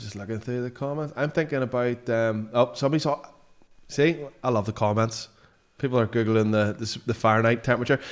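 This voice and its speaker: A man talks at a very fast pace in a Belfast accent. His intonation is fairly even. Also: medium pitch for a man. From Northern Ireland, Belfast area. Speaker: streamer host. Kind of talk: casual chat. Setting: live stream.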